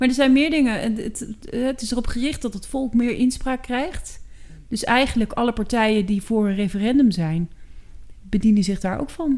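A woman has a normal speaking voice in a fairly high pitch. She talks at a moderate pace with ordinary pitch variation. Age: 40s. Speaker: podcast co-host, working mother. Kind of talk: casual chat. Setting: at the kitchen table.

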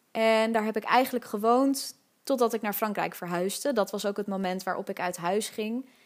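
A woman's unremarkable speaking voice, fairly high in pitch, at a moderate pace with fairly even intonation, in a very clean recording with a silent background. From Netherlands, Amsterdam (Nieuw-West). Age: 20s. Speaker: podcast host. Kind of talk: solo podcast monologue. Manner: casual, laughing often.

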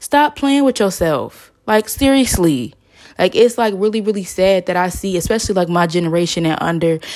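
A woman with an American accent speaks at a moderate pace and a fairly low pitch. Noticeable background noise is present. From US South. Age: 20s. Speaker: podcast host, psychology student. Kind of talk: casual solo monologue. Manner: hesitant, many fillers.

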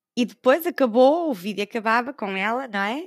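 Spoken in a European Portuguese accent, the voice has lively intonation. The recording is very clean with a silent background, and the sound is dry and close with no echo. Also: woman. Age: 50s. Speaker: podcast host. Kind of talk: personal storytelling. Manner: animated.

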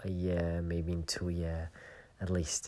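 The recording is very clean with a silent background. The speaker has a Flemish accent. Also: man. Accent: Belgian (Flemish) English. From Belgium. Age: 30s. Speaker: podcast host. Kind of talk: personal reflective monologue. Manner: hesitant, many fillers.

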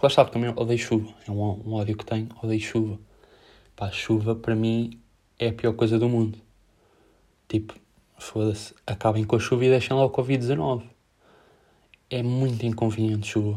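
Monotone and flat, a man's medium-pitched voice comes across dark, mellow and somewhat breathy, with long, frequent pauses on a very clean recording with a silent background. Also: moderate pace. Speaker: podcaster. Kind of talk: casual monologue. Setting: home, in his bedroom.

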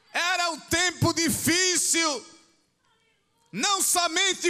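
A raised, projected voice at a very slow pace. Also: man. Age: 60s. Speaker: pastor. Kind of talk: sermon. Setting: church.

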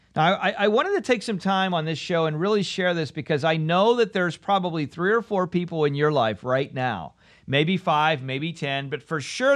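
Against a quiet background, a man speaks at a moderate pace in a high pitch with lively intonation. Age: 40s. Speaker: podcast host. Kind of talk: solo talk show monologue. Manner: animated.

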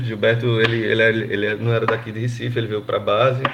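Over noticeable background noise, a man of medium pitch talks at a fairly quick pace. His intonation is monotone and flat. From Brazil, Pernambuco interior (Gravatá). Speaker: football fan. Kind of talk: casual chat. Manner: halting.

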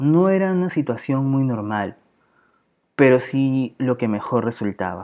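A man with a medium pitch at a fairly slow pace. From Peru, Lima. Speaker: podcast host. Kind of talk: reading aloud.

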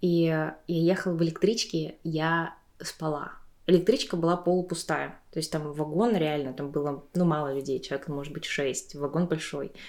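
A woman speaks at a moderate pace in a very deep, low voice with fairly even intonation, on a very clean recording with a silent background. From Tuva, Russia. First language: Tuvan (speaking Russian). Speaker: podcast host. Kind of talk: casual chat. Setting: at a friend's home.

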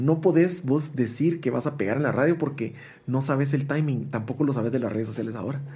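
Dark and mellow in tone, a man's somewhat breathy voice sits at medium pitch with lively intonation and audible room echo. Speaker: musician. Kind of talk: interview.

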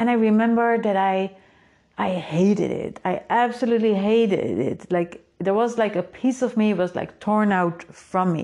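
A woman's medium-pitched voice, dark and mellow in tone, with ordinary pitch variation at a moderate pace. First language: Dutch. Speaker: podcast host and creativity coach. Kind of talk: solo podcast monologue. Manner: casual, upbeat.

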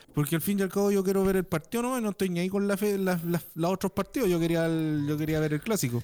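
On a very clean recording with a silent background, a man with a Chilean accent talks at a very fast pace, his high pitch showing ordinary variation, his tone dark and mellow and his loudness very even. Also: hardly any pauses. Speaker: podcast host. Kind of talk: casual chat.

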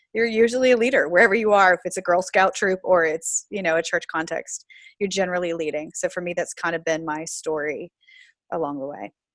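With a plain, everyday voice and an American accent, a woman speaks at a fairly quick pace and fairly low pitch. Her pitch variation is ordinary, and the sound is dry and close with no echo. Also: very clean recording, silent background. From US South, Florida. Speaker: pastor. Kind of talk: interview.

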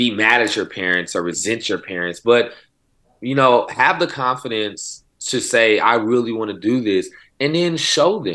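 A man's bright, sharp voice in an American accent, medium in pitch with lively intonation at a moderate pace, on a very clean recording with a silent background. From Oklahoma City. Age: 30s. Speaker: poetry program founder and educator. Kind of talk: interview conversation.

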